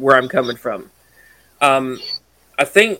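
A man speaks with a Mississippi accent at a fairly high pitch. His tone is bright and sharp, with very wide pitch swings. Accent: Southern US, Mississippi. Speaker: podcast co-host. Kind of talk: casual chat.

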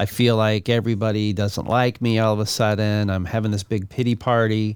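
The clip features an unremarkable speaking voice. Its delivery is fairly quick. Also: man. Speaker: radio podcast host. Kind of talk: casual interview.

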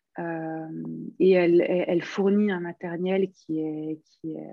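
The intonation is fairly even. A woman delivers it at a very slow pace. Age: 50s. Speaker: knitting pattern designer. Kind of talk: interview. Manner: hesitant, many fillers.

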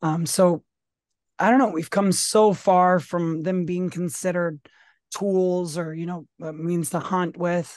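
Set against a quiet background, a woman with an American accent uses a normal speaking voice at a fairly low pitch with fairly even intonation. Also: fairly slow pace. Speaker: podcast co-host. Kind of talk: casual political discussion.

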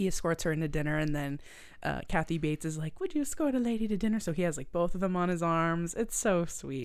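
Speaking fairly quickly with a Canadian Maritime accent, a woman with a fairly low pitch is heard on a very clean recording with a silent background. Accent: Canadian Maritimes. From Nova Scotia, Canada. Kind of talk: casual chat.

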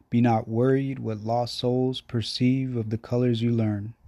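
Dry and close with no echo, a man's voice at medium pitch carries a dark, mellow tone and monotone, flat intonation. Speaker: poet. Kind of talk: poetry reading. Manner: slow, dreamy, measured.

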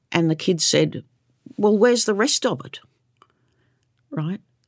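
A woman speaks with an Australian accent at a moderate pace. Her pitch varies in an ordinary way, in a very clean recording with a silent background. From Queensland, Australia. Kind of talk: interview. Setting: studio.

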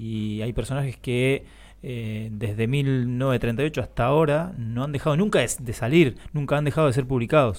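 A man speaks fairly slowly in a plain, everyday voice, at medium pitch with ordinary pitch variation, on a very clean recording with a silent background. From Argentina, born in Chile. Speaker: cosplayer and actor. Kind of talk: casual chat. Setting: radio studio.

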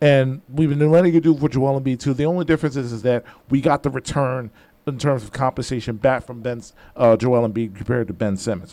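Very fast speech from a man with a dark, mellow tone and a Philadelphia accent. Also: medium pitch for a man, ordinary pitch variation. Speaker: radio host. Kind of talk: radio sports talk. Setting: radio studio.

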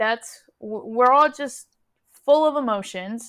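Fairly high for a woman, an ordinary speaking voice moves at a fairly slow pace with ordinary pitch variation. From Houston, Texas (moved from California at ten). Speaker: podcast co-host, interviewee. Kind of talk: casual chat interview.

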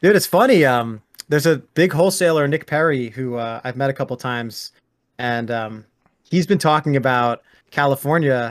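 This man has a normal speaking voice with a fairly high pitch. He talks at a moderate pace with ordinary pitch variation. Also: very clean recording, silent background. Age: 30s. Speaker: real estate investor. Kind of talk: casual interview.

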